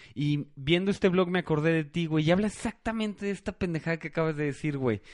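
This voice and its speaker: A man with a Mexican accent against a quiet background. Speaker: podcast host. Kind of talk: casual chat.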